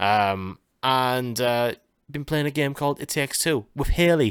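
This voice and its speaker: Speaking with a northern English accent, a man at a medium pitch shows ordinary pitch variation in a very clean recording with a silent background. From northern England. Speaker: gaming and music podcast host. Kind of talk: casual chat. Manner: hesitant, many fillers.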